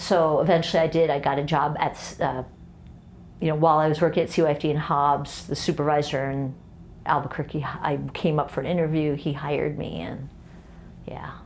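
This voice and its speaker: With a very deep, low pitch, a woman speaks at a fairly quick pace in a monotone, flat intonation, with audible room echo. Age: 60s. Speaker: lawyer and guest parent on family podcast. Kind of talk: casual interview chat.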